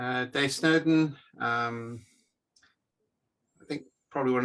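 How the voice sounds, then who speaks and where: This is a man speaking with a North Welsh accent. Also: quiet background. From North Wales. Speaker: complexity consultant. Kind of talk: casual chat.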